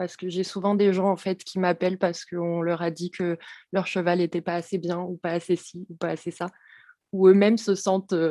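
A woman speaks at a moderate pace in a dark, mellow tone with flat, monotone intonation, recorded very cleanly against a silent background with a dry, close sound and no echo. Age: 20s. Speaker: equine behaviourist and horse masseuse. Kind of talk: podcast interview.

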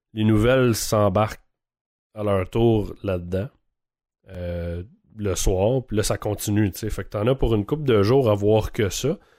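In a very clean recording with a silent background, a man with a Quebec accent and a fairly low, dark, mellow voice speaks very slowly, with long, frequent pauses and ordinary pitch variation. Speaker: podcast host. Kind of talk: casual chat.

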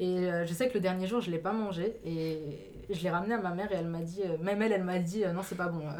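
With audible room echo and noticeable background noise, a woman at a medium pitch speaks at a very fast pace with hardly any pauses and fairly even intonation. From Alsace, Mulhouse. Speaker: student. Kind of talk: casual chat. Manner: hesitant.

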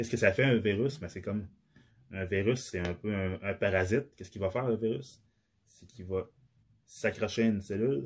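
A man with a Quebec accent and fairly low pitch, fairly quick in pace, with ordinary pitch variation, big swings in loudness and long, frequent pauses, on a very clean recording with a silent background. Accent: Québécois French. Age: 30s. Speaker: podcaster. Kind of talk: solo monologue. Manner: halting, many fillers.

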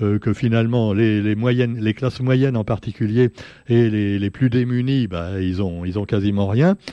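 A man talking at a moderate pace. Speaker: radio press review columnist. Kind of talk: radio press review. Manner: hesitant with many fillers.

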